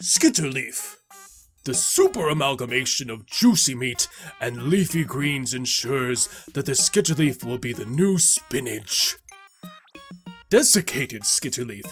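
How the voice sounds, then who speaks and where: Over faint background music, a man uses a put-on character voice at a medium pitch and a moderate pace. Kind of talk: character narration of game encyclopedia entries.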